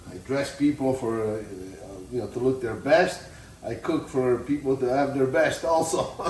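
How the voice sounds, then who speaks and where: The speaker has an Italian accent and ordinary pitch variation. Background noise is noticeable. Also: man, medium pitch for a man, moderate pace. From Italy. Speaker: tailor and home cook. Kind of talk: cooking tutorial. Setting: home kitchen. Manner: casual, halting.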